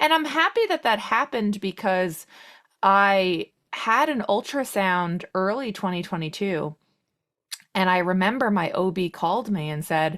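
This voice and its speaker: A woman with an American accent speaks fairly slowly at a medium pitch, her intonation lively, in a very clean recording with a silent background. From Long Island, New York. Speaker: podcast guest sharing fertility journey. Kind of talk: personal testimony in interview. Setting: podcast interview.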